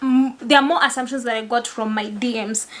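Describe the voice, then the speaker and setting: At a moderate pace, a woman with a Kenyan accent speaks in a high voice with ordinary pitch variation. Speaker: lawyer and content creator. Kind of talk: casual vlog talk. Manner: soft-spoken; not loud, laid back.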